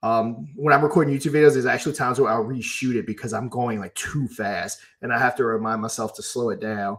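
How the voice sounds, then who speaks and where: Fairly even intonation and a fairly quick pace in an unremarkable speaking voice. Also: man. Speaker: crypto YouTuber and livestream co-host. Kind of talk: casual livestream chat.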